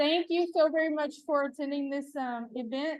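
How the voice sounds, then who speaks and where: At a moderate pace, the speaker talks in an East Texas accent with ordinary pitch variation. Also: woman. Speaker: adult protective services presenter. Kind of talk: conference presentation. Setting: stage with live audience. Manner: animated, engaging with audience; casual.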